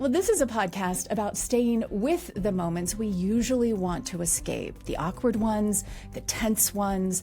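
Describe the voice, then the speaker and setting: Music plays in the background as a woman speaks at a moderate pace with hardly any pauses. Her pitch is medium, with ordinary variation. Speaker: podcast host. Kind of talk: podcast intro.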